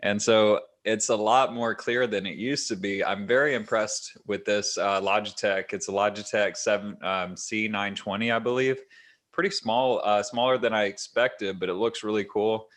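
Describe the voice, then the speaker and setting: Fairly even intonation and a moderate pace from a man with a fairly low voice. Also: quiet background. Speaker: podcast host. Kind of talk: casual chat. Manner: even, level pitch. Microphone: new webcam microphone.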